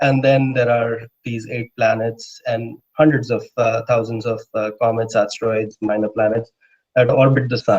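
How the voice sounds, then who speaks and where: The voice is somewhat breathy, flat and monotone, at a moderate pace. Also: man, medium pitch for a man. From India. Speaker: astrophysicist. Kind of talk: lecture. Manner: hesitant, many filler words.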